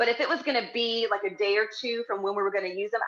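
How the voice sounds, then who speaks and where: A woman talks at a very fast pace. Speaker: wellness cooking instructor. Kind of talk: live cooking tutorial.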